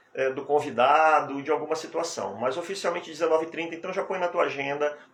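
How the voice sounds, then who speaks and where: This man's voice is fairly high. His intonation is fairly even throughout. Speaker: hypnotherapist and hypnosis teacher. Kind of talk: live stream talk. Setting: live stream. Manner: soft-spoken.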